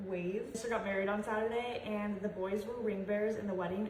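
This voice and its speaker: Over noticeable background noise and audible room echo, a woman speaks fairly quickly in an animated tone at a medium pitch. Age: 20s. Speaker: lifestyle vlogger, mom. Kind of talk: casual chat to camera. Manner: fast.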